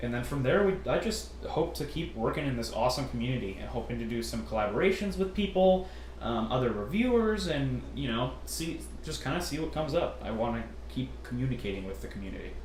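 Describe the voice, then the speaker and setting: With noticeable background noise and audible room echo, a man talks at a fairly quick pace. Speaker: MRE ration reviewer, youtuber. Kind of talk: casual Q&A chat.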